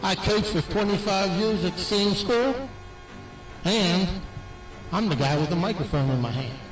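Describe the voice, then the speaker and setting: Speaking at a moderate pace with lively intonation, very even loudness, and long, frequent pauses, a man with a high pitch is heard amid noticeable background noise and audible room echo. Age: 70s. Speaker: retired teacher and coach. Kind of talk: acceptance speech.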